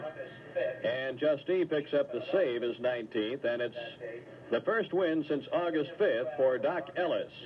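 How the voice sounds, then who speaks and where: A man speaks in an ordinary speaking voice, fairly high in pitch. His pace is fairly slow and his intonation lively. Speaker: radio baseball play-by-play announcer. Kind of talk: live baseball play-by-play.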